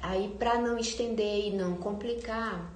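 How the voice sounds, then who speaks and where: Soft-spoken and medium in pitch, a woman talks with monotone, flat intonation amid noticeable background noise and audible room echo. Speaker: content creator on self-awareness and architecture. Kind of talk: live stream talk. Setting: live stream.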